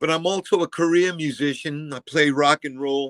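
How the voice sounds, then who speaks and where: A man has a plain, everyday voice with an American accent, speaking at a moderate pace. His intonation is fairly even, and the sound is dry and close with no echo. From Massachusetts, Fall River. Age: 60s. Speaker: former teacher and school board member. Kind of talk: interview.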